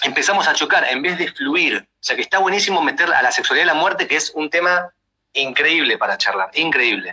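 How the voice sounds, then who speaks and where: In a dry, close sound with no echo, a man talks at a fairly quick pace with big swings in loudness. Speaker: podcast host. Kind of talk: casual chat.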